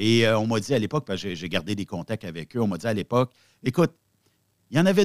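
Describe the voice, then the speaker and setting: A voice with lively intonation and a Quebec accent comes through a very clean recording, silent background, with a dry, close sound with no echo. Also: man. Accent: Québécois French. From Quebec (Repentigny). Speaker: web radio founder, former trucker. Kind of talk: casual interview.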